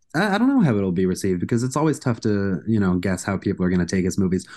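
A man with an American accent, dark, mellow tone and lively intonation, over a quiet background. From US Northeast, north shore of Massachusetts. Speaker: author and film critic. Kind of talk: casual interview.

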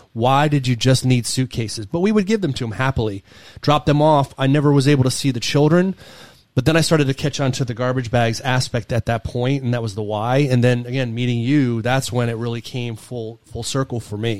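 Here is a man with an unremarkable speaking voice at medium pitch. He talks at a fairly quick pace with ordinary pitch variation. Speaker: podcast host. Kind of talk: casual chat.

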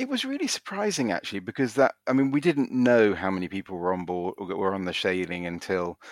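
A man with a British accent and a very deep, low pitch speaks with ordinary pitch variation in a very clean recording with a silent background. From UK. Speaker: cruise passenger. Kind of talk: casual interview. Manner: halting, many fillers and repeats.

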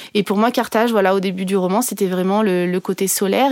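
Speech runs fairly quickly. The background is silent and the recording very clean. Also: woman. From France, Ardèche. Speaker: journalist and novelist. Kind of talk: interview. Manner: halting.

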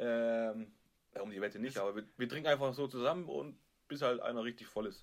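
This man has an ordinary speaking voice, medium in pitch with ordinary pitch variation, and he talks at a fairly quick pace. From Stuttgart area, Germany. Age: 30s. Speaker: podcast co-host. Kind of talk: casual chat. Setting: video call.

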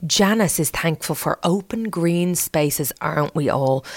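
An ordinary speaking voice from a woman, medium in pitch, with lively intonation at a fairly slow pace, in dry, close sound with no echo. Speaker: podcast host. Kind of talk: casual interview chat.

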